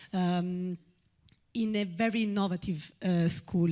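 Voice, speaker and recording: Over a quiet background, a speaker with an Italian accent talks at a very slow pace with fairly even intonation. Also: woman. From Italy. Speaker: audience member asking a question. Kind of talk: audience question at a public talk. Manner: halting, many fillers.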